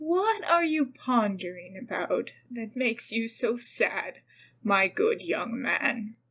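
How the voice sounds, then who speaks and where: Using a put-on character voice, a woman speaks with a high pitch at a very slow pace. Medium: read story.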